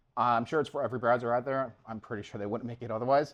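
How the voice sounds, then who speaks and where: A man with a Long Island accent against a quiet background. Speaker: front-end engineer, meetup speaker. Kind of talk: conference talk. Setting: stage with audience at meetup. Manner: casual, halting with fillers.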